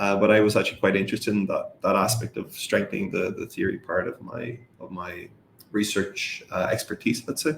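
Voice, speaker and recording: A man with an Irish accent at a moderate pace. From Ireland. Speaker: professor. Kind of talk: interview. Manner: hesitant, many fillers.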